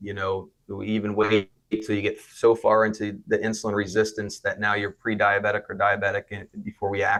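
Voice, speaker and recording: A man with an American accent speaks at a moderate pace in a fairly low voice. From South Florida. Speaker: physician and clinic founder. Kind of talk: interview. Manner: hesitant, with filler words.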